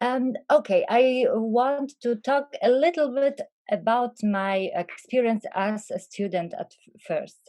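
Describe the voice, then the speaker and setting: With a non-native accent, a woman speaks at a very slow pace with hardly any pauses, in a high pitch with ordinary pitch variation. Her tone is dark and mellow, and her loudness swings widely. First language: Polish. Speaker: academic, panelist. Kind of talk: panel presentation.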